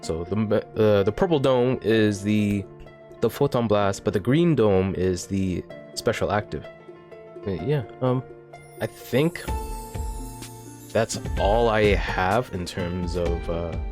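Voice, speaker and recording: A man's fairly low voice at a very slow pace, ordinary pitch variation, music in the background. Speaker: gaming content creator. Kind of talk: casual talk to camera.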